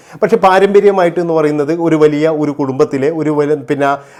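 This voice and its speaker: A man with a fairly high pitch speaks in a dark, mellow tone with ordinary pitch variation. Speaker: YouTube gossip commentator. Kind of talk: opinion monologue.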